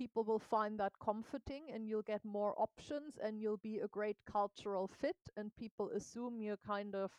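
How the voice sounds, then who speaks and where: In a plain, everyday voice, a woman talks at a moderate pace with a fairly high pitch and fairly even intonation, the sound dry and close with no echo. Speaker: coach and consultant. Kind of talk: interview conversation.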